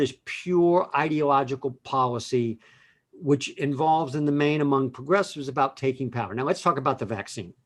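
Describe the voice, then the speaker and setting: This man has an ordinary speaking voice, fairly high in pitch with ordinary pitch variation. He talks at a moderate pace against a quiet background. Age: 60s. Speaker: lawyer. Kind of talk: casual chat.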